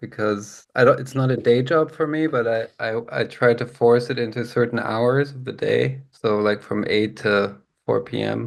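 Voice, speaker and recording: A man's ordinary speaking voice with an American accent, medium in pitch and fairly even in intonation, at a moderate pace with hardly any pauses. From Germany and California. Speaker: jazz pianist. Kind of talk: interview. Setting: video call.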